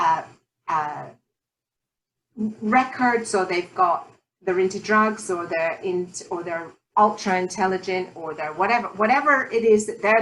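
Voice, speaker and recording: A woman's voice with a British accent. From Scottish Highlands. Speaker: talk show host and life coach. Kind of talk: interview.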